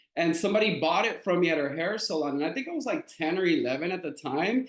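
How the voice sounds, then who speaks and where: A man's high voice moves at a very fast pace with lively intonation. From US West Coast, Los Angeles. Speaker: entrepreneur, founder. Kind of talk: interview conversation.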